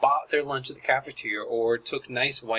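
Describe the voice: The delivery is plain reading aloud. Words are read straight off the page.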